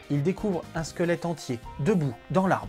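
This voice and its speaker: A man with a high pitch at a moderate pace, with faint music in the background. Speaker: storyteller host. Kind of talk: storytelling narration to camera. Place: home room. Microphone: lapel.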